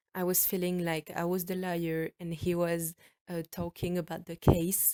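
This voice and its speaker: In a French accent, a woman speaks at a moderate pace with a fairly low pitch, a dark, mellow tone and monotone, flat intonation, on a very clean recording with a silent background. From France. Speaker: podcaster. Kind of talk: storytelling. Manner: halting; casual.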